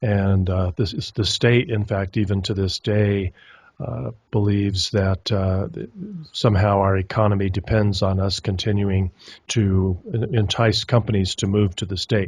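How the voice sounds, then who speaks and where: Over a quiet background, a man with an American accent talks at a fairly slow pace in a fairly low, somewhat breathy voice with fairly even intonation. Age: 60s. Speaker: documentary filmmaker. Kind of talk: interview. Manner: hesitant, many fillers.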